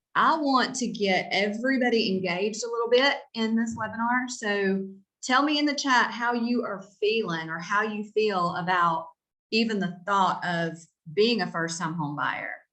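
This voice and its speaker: With a North Carolina accent, the speaker has a bright, sharp tone, lively intonation and a moderate pace, and audible room echo surrounds the voice. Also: woman, fairly high pitch for a woman. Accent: Southern (Stanly County). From North Carolina, Albemarle (Stanly County). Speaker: real estate agent. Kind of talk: webinar presentation. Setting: video call webinar. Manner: animated.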